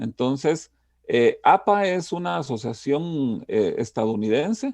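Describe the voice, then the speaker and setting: A man's dark, mellow voice, fairly high in pitch, very slow, with very wide pitch swings against a quiet background. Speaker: university lecturer. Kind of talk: lecture. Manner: trying to speak slowly.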